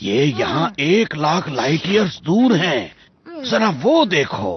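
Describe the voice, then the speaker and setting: The voice is a put-on character voice. Its delivery is fairly slow. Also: man, high pitch for a man. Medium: fan dub. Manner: warm, gentle.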